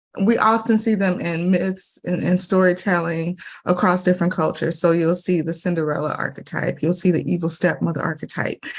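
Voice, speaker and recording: Somewhat breathy and fairly low, a woman's voice moves at a fairly quick pace with fairly even intonation and hardly any pauses. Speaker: spiritual teacher. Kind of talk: interview. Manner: soft-spoken.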